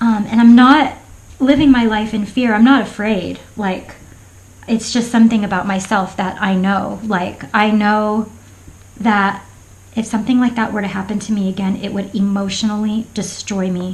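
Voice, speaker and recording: Against audible room echo, a woman with an American accent speaks at a moderate pace, fairly high in pitch and somewhat breathy, with fairly even intonation. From Florida. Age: 40s. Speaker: craft vlogger. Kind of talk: casual chat. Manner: halting.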